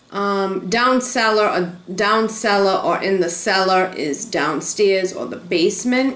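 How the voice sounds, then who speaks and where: Very slowly, a woman at a medium pitch speaks with a Rhode Island accent and ordinary pitch variation. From Rhode Island, USA. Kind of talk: casual talk to camera.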